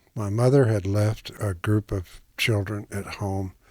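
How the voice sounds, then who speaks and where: There is a very clean recording with a silent background of a man speaking at a fairly low pitch, somewhat breathy. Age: 70s. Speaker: retired teacher and writer. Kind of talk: personal testimony interview.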